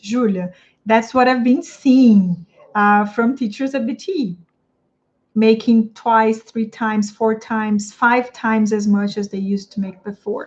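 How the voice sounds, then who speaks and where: A somewhat breathy woman's voice with a Portuguese accent, fairly high in pitch, at a moderate pace with fairly even intonation. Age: 30s. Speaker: English teacher coach. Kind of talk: livestream talk to viewers. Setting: live stream on YouTube and Instagram.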